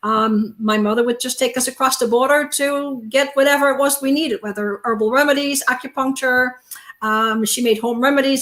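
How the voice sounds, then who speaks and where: A woman with a Dutch accent talks at a fairly quick pace, her high pitch held in fairly even intonation. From Netherlands. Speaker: naturopathic doctor. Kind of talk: testimony.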